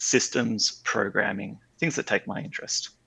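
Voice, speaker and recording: A man with an Australian accent speaks at a moderate pace in a bright, sharp tone with vocal fry, against a quiet background. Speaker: game server developer. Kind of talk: podcast interview. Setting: online call.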